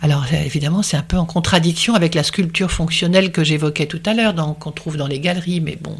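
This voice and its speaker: A woman with a fairly low, somewhat breathy voice talks at a very fast pace with fairly even intonation. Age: 60s. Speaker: art and design historian. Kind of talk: interview. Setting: at her home.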